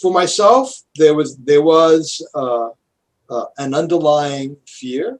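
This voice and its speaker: The speech from this man is very slow. Its pitch moves in an ordinary way. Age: 70s. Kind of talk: interview answer.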